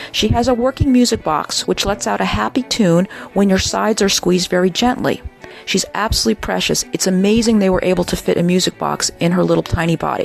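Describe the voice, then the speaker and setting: Over music in the background, a woman talks at a very fast pace with very even loudness. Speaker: auction house toy and doll specialist. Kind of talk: auction preview product description narration.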